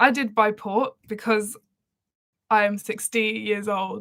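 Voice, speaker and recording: Speaking very slowly in an Essex accent, a woman with a fairly high pitch keeps a relaxed tone and a monotone, flat intonation. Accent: southern English (Essex). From Essex, England. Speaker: singer. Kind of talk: casual livestream chat. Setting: live stream. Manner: relaxed, chatty with fillers.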